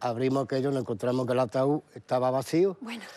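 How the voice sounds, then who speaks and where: Ordinary pitch variation in a man's dark, mellow tone. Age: 50s. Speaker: bereaved father; guest. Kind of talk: TV interview testimony. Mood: sorrowful, emotional recounting. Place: studio.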